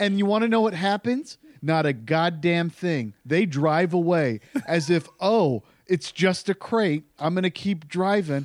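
A man with a high voice speaks at a fairly slow pace with lively intonation and very even loudness. The recording is very clean with a silent background and a dry, close sound with no echo. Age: 30s. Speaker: podcast guest, fellow podcaster. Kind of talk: casual chat. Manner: animated.

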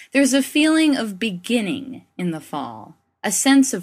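A high-pitched woman at a fairly slow pace, with very wide pitch swings, in a very clean recording with a silent background. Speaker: faith columnist. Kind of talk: reading aloud.

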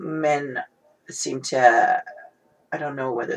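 A woman is speaking. Her pace is very slow. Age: 40s. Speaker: guest on dating podcast. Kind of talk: casual chat.

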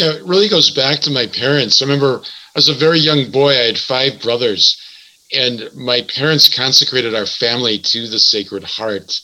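Someone with a plain, everyday voice speaks with an American accent. The pace is moderate, with ordinary pitch variation. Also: man, medium pitch for a man. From Wisconsin, US Midwest (Milwaukee). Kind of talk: religious radio interview.

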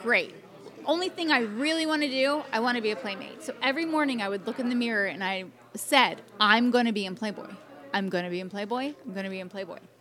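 Over noticeable background noise, a woman with an American accent talks at a very fast pace, her fairly high voice showing lively intonation. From Atlantic City, New Jersey. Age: 40s. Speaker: former model. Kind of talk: casual chat. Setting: fan convention.

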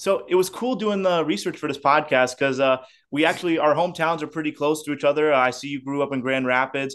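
Speech comes at a very fast pace over music in the background, with ordinary pitch variation. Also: man, fairly high pitch for a man. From Indiana, South Bend. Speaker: podcast host. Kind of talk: casual interview chat.

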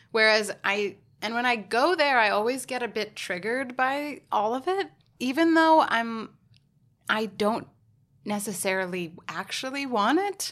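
A woman's fairly high, normal speaking voice with lively intonation at a fairly slow pace. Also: very clean recording, silent background. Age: 20s. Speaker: podcast guest. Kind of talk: casual chat.

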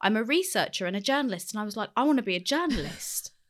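In a London accent, a woman with a fairly high voice speaks at a very fast pace with lively intonation. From West London, England. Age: 30s. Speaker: skincare brand founder and psychotherapist. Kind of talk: interview conversation. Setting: studio.

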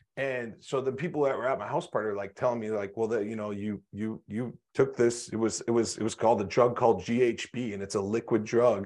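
At a fairly quick pace with hardly any pauses, a man with a plain, everyday voice speaks at medium pitch and fairly even intonation against a quiet background. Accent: American. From North Dakota, US. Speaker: motivational speaker and business consultant. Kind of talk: interview, personal testimony.

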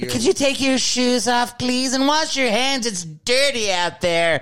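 A put-on character voice with fairly high pitch speaks at a fairly slow pace. Music plays in the background. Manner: prim, scolding.

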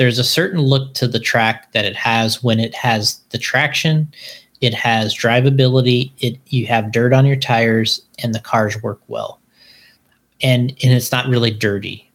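An ordinary speaking voice from a man, medium in pitch, with fairly even intonation at a moderate pace. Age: 40s. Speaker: RC car racing company owner. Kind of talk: casual chat. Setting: live-streamed video podcast recorded at work.

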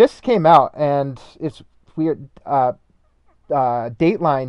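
A man with an ordinary speaking voice talks at a fairly high pitch with ordinary pitch variation. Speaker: masters runner and obstacle racer. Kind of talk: casual chat.

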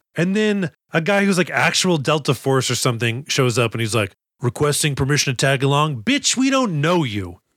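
Using very wide pitch swings, a man talks at a fairly quick pace with an American accent. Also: fairly high pitch for a man, very clean recording, silent background. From Boston. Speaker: podcast host and comedian. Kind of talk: casual chat.

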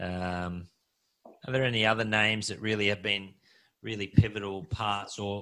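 In a very clean recording with a silent background, a man speaks with an Australian accent. His voice is fairly low with a bright, sharp tone. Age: 40s. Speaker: podcast host. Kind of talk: interview.

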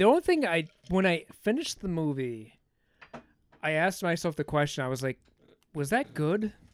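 At a moderate pace, a man with a high pitch speaks with lively intonation and long, frequent pauses. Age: 30s. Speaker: guest movie ranker on a podcast. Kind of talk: casual chat. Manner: animated.

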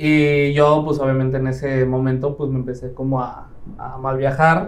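In a room with audible echo, a man with a Mexican accent speaks at a fairly high pitch. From Mexico, Quintana Roo (Playa del Carmen). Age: 20s. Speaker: real estate team leader. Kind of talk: interview.

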